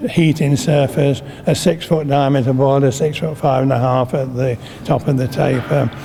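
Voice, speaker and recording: A man's fairly high voice, monotone and flat, at a moderate pace with very even loudness, over noticeable background noise. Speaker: retired railway shedmaster. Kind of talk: interview answer.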